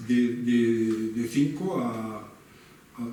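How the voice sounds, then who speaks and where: A man speaks with fairly even intonation. Audible room echo and noticeable background noise fill the recording. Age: 70s. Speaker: innovation consultancy founder. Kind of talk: Q&A discussion after a talk. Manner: halting, many repetitions and false starts.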